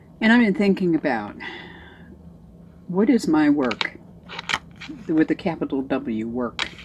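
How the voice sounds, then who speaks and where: At a moderate pace, a woman with a fairly low pitch makes very wide pitch swings and takes long, frequent pauses over noticeable background noise. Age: 70s. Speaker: vlogger on weight-loss surgery. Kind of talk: casual video diary. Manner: hesitant, many fillers.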